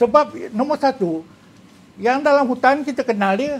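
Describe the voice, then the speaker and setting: A man's voice with lively intonation at a moderate pace. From Malaysia. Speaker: retired police officer and author; guest. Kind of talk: casual chat. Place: studio. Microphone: lapel.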